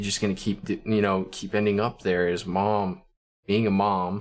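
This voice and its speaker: A man's very deep, low voice, fairly quick, with fairly even intonation. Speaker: streamer. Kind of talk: casual chat. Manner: monotone.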